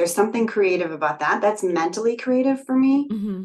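A woman's plain, everyday voice at medium pitch. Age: 40s. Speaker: energy healer and mindset coach. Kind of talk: casual interview.

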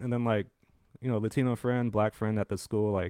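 The recording is very clean, with a silent background and a dry, close sound free of echo. The speaker has a Californian accent and ordinary pitch variation. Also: man. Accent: Californian American English. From San Francisco, California. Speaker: podcast co-host. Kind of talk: casual chat.

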